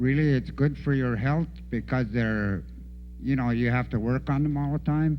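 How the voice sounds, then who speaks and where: A man at a moderate pace with audible room echo. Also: very even loudness. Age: 70s. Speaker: veteran dog musher. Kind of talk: casual talk at a conference.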